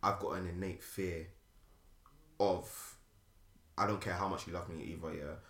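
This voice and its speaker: Speaking with a London accent, a man with a very deep, low pitch keeps a moderate pace and fairly even intonation, with long, frequent pauses. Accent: British, London urban. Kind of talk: casual chat.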